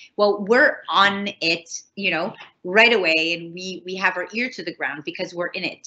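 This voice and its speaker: A woman's voice of medium pitch, with ordinary pitch variation. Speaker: college tutor presenting information session. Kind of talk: online information session presentation. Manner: fast; casual, halting with fillers.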